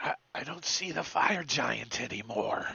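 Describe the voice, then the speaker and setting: A man puts on a raspy character voice at a fairly high pitch. His pace is moderate. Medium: actual play.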